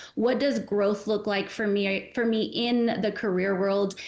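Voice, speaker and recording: With an American accent, a woman talks at a moderate pace and medium pitch. Audible room echo surrounds her voice. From Arizona, US. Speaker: nonprofit executive director. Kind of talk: casual interview.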